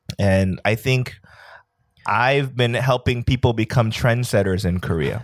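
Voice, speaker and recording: Here a man talks in a plain, everyday voice at medium pitch, with ordinary pitch variation and very even loudness. His pace is fairly slow, and the recording is very clean with a silent background. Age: late 30s. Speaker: podcast co-host. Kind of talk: casual chat.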